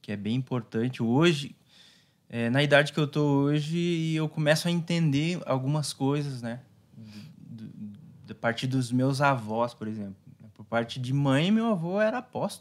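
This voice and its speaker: With big swings in loudness, a man speaks at a moderate pace in a fairly high pitch. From Brazil, Paraná (Foz do Iguaçu); Paraná, Brazil. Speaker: pastor. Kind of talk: casual chat. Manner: calm, hesitant with many fillers. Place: studio. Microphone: studio mic.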